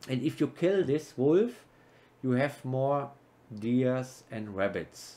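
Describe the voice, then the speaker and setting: Over a silent background in a very clean recording, a man with a non-native accent speaks very slowly at a medium pitch, his tone dark and mellow and his intonation lively. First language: not English. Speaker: gaming YouTuber. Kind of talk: gameplay commentary. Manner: casual, halting.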